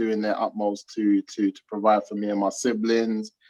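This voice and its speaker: A man with a London accent and a fairly low pitch talks at a moderate pace, with a dry, close sound and no echo. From South London, England. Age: 30s. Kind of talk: interview. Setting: video call.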